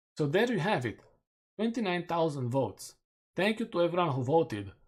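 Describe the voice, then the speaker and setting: A man with a Romanian accent speaks with very wide pitch swings. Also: very clean recording, silent background. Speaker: gaming streamer. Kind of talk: live stream commentary. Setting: live stream.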